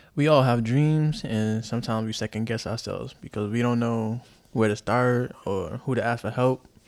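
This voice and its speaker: A man speaks in a normal speaking voice with an American accent. His pitch is medium and his intonation fairly even. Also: moderate pace. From US, Chicago and the Bronx, New York. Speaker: podcaster, navy veteran and photographer. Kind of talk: solo monologue, casual.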